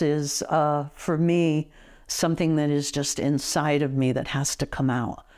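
A woman's very deep, low voice with ordinary pitch variation, on a very clean recording with a silent background. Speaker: painter, retired stenographer. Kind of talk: interview. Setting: home studio.

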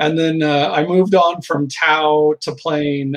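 With an American accent, a man talks in a plain, everyday voice, fairly high in pitch and fairly even in intonation. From US Midwest (Southern Illinois, Indiana). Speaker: game designer. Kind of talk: casual interview.

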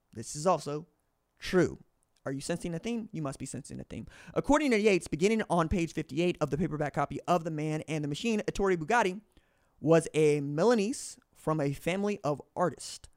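A man's fairly high voice at a fairly quick pace, with ordinary pitch variation, a dry, close sound with no echo, and a very clean recording with a silent background. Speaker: podcast host. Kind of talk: solo commentary with book readings. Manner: casual, unedited with fumbles.

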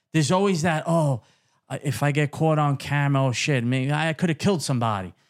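Fairly high male voice in a Brooklyn accent, fairly quick, with ordinary pitch variation, on a very clean recording with a silent background. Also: very even loudness. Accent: New York (Brooklyn). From Brooklyn, New York City. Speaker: podcast host. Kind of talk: casual interview.

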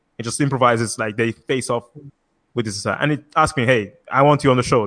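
A man at a very fast pace and medium pitch, dry and close with no echo, over a quiet background. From Italy. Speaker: composer. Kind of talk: casual chat. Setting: live video stream.

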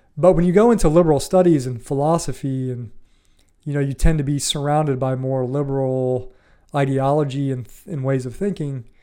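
Speaking at a fairly quick pace, a man with a Midwestern American accent has a fairly high pitch and a dark, mellow tone, his loudness swinging widely. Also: ordinary pitch variation. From US Midwest, Ohio. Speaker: podcast host. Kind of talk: solo commentary on an article. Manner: casual, with hesitations and repetitions.

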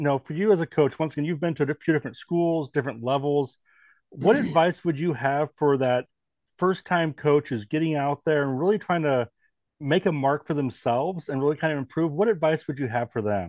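A man with an American accent talks at a fairly quick pace in a normal speaking voice, fairly high in pitch with ordinary pitch variation. The sound is dry and close with no echo against a quiet background. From US Northwest. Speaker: baseball podcast host. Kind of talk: podcast interview.

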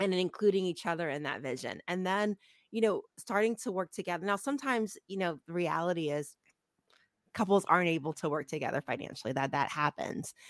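A woman's normal speaking voice in a General American accent, medium in pitch with lively intonation and a fairly quick pace, on a very clean, dry, close recording with a silent background and no echo. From Ohio, US Midwest. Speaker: accountant and business owner. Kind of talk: interview.

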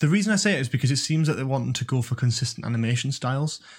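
In a Geordie accent, a man talks at a very fast pace. His voice is somewhat breathy on a very clean recording with a silent background. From Newcastle, northern England. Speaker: university student and YouTube content creator. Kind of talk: casual chat.

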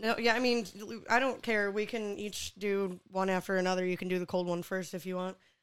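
A woman with an unremarkable speaking voice talks at a fairly quick pace with medium pitch and fairly even intonation on a very clean recording with a silent background. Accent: American. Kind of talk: casual comedy podcast chat. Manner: laughing, playful.

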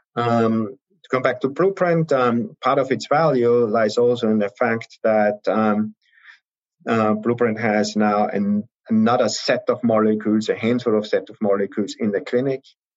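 Ordinary pitch movement in a man's mid-range voice, delivered at a moderate speed. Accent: German. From Austria. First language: German. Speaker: venture capital investor. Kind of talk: interview.

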